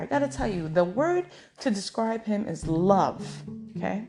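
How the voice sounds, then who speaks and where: Animated and in an American accent, a woman speaks with very wide pitch swings. Background noise is noticeable. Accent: New York accent, toned down when professional. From New York City. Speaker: podcaster. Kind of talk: storytelling monologue. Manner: enunciates carefully, professional tone.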